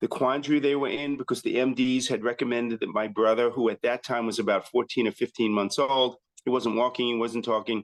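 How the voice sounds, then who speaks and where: With an American accent, a man talks at a fairly quick pace in a medium pitch, barely pausing and keeping his loudness very even. His intonation is monotone and flat, and the sound is dry and close with no echo. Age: 60s. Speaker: chiropractor. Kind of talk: interview. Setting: podcast.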